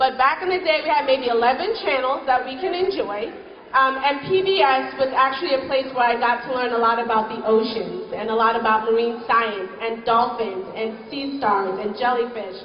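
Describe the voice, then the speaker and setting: The speech moves at a moderate pace with lively intonation and hardly any pauses. Noticeable background noise and audible room echo are present. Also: woman, high pitch for a woman. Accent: American. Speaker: guest speaker, marine scientist. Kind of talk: speech to children. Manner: animated.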